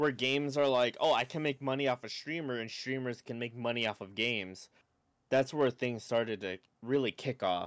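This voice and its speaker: A man's medium-pitched voice with ordinary pitch variation, at a moderate pace. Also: dry, close sound with no echo. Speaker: streamer and podcast co-host. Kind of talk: casual chat. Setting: video call. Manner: talkative, frequent repetitions.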